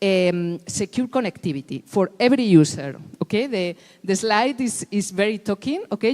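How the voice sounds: At a fairly quick pace, a woman speaks at medium pitch with a slightly mellow tone and ordinary pitch variation.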